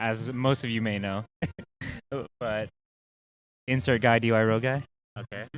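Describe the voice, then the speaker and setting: Delivered at a moderate pace with long, frequent pauses, the speech has monotone, flat intonation and a dry, close sound with no echo. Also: man, medium pitch for a man. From Texas, Beaumont. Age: 20s. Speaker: podcast co-host. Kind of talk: casual chat.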